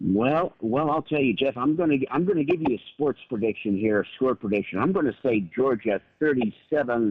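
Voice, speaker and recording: At a moderate pace with hardly any pauses, a man of medium pitch talks with lively intonation and very even loudness. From Nevada. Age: 30s. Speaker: caller. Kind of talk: call-in. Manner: halting, repeats words.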